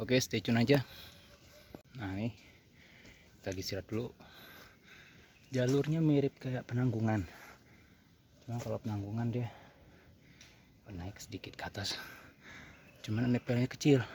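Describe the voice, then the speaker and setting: A man speaks at a fairly quick pace with a somewhat breathy voice, ordinary pitch variation, and long, frequent pauses. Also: medium pitch for a man. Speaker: hiking vlogger. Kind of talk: vlog narration while hiking. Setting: outdoors on mountain trail.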